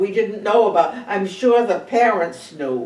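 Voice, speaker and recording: A woman with an American accent talks at a very slow pace and medium pitch. Noticeable background noise runs through the clip. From Cape Cod, Massachusetts. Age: 90s. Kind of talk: oral history interview answer.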